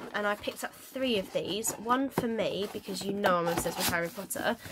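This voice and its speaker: A woman talks at a fairly quick pace with ordinary pitch variation, and noticeable background noise is audible. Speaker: vlogger. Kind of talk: casual haul vlog chat. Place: home room. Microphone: phone near.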